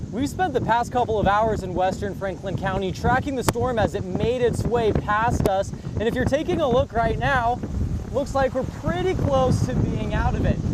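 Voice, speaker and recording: A man speaks at a moderate pace in a high voice with ordinary pitch variation. Noticeable background noise runs underneath. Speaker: television news anchor and reporter.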